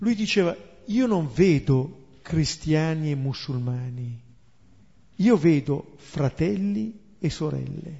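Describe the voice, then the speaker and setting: At a very slow pace with long, frequent pauses, a somewhat breathy man at fairly high pitch makes very wide pitch swings. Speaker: Bible teacher. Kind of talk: lecture.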